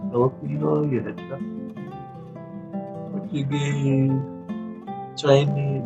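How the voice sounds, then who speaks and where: A man speaks with a Hawaiian accent. Music plays in the background. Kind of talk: educational talk. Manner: casual, conversational.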